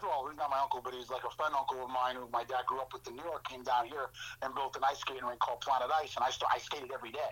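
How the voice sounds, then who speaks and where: A man with an American accent talks at a very fast pace, his pitch fairly high. Noticeable background noise runs under the recording. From Florida. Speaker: former hockey player. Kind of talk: casual chat. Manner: halting.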